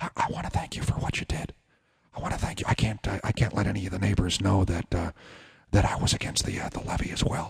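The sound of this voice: A man's put-on character voice, raspy and whispering at a very fast pace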